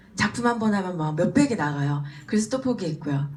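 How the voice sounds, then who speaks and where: A woman's animated tone, very wide pitch swings and fairly quick pace, with noticeable background noise. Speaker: business speaker, former elementary teacher. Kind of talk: motivational seminar talk.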